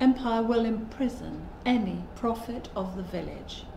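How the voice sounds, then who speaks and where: A woman's fairly slow speech with fairly even intonation, audible room echo and light background noise. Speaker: poet in residence. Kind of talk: spoken word poem performance, reading aloud. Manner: rhythmic, driving rhyme and emphatic delivery. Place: home room.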